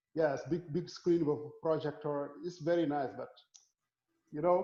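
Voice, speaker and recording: With a dark, mellow tone and fairly high pitch, a man speaks at a moderate pace in a monotone, flat intonation, his loudness swinging widely. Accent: Senegalese. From Senegal. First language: Wolof. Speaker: physics professor. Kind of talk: casual interview. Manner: repeats words often.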